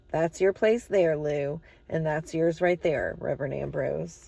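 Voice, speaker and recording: A put-on character voice, raspy and delivered at a fairly slow pace. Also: woman, fairly low pitch for a woman. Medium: read story. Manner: homely, insistent.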